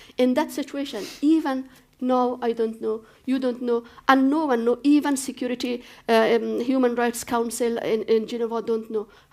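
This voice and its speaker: With an Afghan accent, a woman speaks in a high pitch. Her pace is moderate and her intonation fairly even. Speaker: human rights activist, former politician. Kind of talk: panel discussion. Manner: halting, with fillers.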